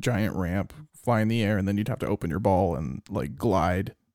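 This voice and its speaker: At a fairly quick pace, a man with an ordinary speaking voice, fairly low pitch and ordinary pitch variation is heard on a very clean recording with a silent background. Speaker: podcast co-host. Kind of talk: casual banter. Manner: joking, profane.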